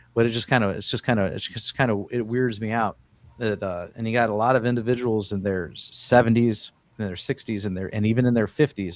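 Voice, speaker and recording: A man's unremarkable speaking voice at medium pitch, fairly quick in pace, with fairly even intonation. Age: 50s. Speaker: podcast host, construction worker. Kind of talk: casual chat.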